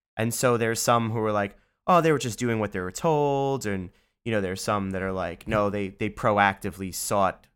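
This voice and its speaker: A man with a fairly low pitch, moderate pace and ordinary pitch variation, on a very clean recording with a silent background. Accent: New York. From New York City, Bronx. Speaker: audio engineer and director. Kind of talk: casual chat.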